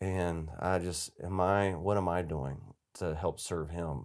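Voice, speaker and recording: Fairly even intonation in an Appalachian accent against a quiet background. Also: man. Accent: Southern US (Appalachian North Carolina). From US South, western North Carolina mountains. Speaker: charity executive, former army officer. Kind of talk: casual interview. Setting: studio. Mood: earnest, reflective. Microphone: lapel.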